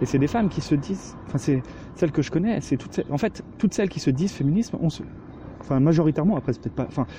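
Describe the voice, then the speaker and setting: Talking at a very fast pace, a man has lively intonation. His pitch is fairly high. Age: 20s. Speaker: podcast co-host. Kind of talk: recorded audio monologue.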